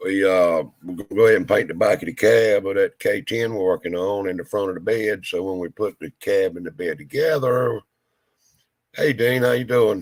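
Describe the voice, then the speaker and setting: A man with a Southern US accent speaks at a fairly low pitch and a moderate pace. His pitch varies in an ordinary way, and the sound is dry and close with no echo. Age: 60s. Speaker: hot rod shop owner. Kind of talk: casual chat.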